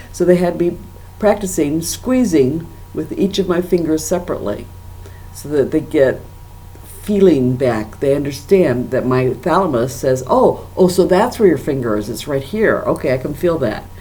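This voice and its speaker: A woman with a very deep, low pitch talks at a moderate pace with very wide pitch swings and audible room echo. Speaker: stroke survivor and corporate trainer vlogger. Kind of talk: personal video diary. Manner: careful enunciation; halting, repeats words.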